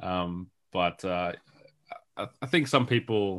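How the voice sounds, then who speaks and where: Very deep and low, a man's voice carries an Australian accent. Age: 30s. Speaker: video game writer and sound designer. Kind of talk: interview.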